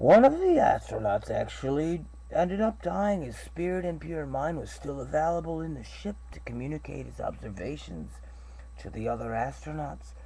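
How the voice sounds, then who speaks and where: A man talks at a moderate pace, his loudness swinging widely. The room echo is clearly audible. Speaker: webcam vlogger. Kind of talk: reading aloud own dream notebook. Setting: webcam recording.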